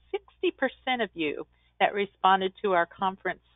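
Over a quiet background, a woman talks at a moderate pace in a dry sound with no echo. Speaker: virtual conference host. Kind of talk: webinar introduction and announcements. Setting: video call. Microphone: webcam.

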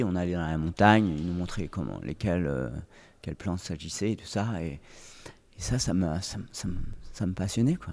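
Fairly quick speech from a man, his pitch varying in an ordinary way. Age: 40s. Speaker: former pro windsurfer, oriental medicine practitioner; podcast guest. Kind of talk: interview. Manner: halting. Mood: calm, reflective storytelling. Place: studio. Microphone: studio mic.

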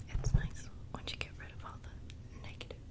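The speaker is soft-spoken and whispering. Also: woman. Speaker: ASMR creator. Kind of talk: soft whispered ASMR chat. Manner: soft close-mic ASMR whisper. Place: home room. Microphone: studio mic.

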